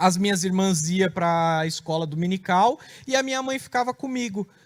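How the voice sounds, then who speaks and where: On a very clean recording with a silent background, a man speaks high-pitched with lively intonation. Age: 30s. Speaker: preacher giving testimony. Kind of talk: testimony.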